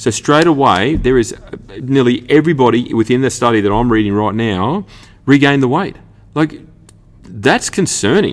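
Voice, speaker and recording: With lively intonation and an animated, passionate tone, a man with an Australian accent speaks at a moderate pace and medium pitch. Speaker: fitness coach and podcast host. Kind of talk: solo podcast monologue. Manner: halting, stumbling over words.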